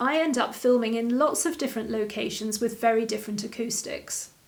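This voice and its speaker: With ordinary variation in her pitch, a woman talks in a high voice. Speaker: online interior design teacher. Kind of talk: tutorial. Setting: home video studio. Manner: slow.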